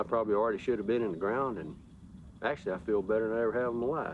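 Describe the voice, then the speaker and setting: This is a man speaking. His pitch is medium. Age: 60s. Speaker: farmer. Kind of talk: interview.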